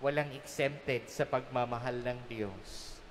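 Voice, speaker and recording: A man speaks at a very slow pace. Light background noise can be heard. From Philippines. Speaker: priest. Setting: church during Mass. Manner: warm, earnest, conversational; gently humorous, explaining with everyday examples. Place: church. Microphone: podium.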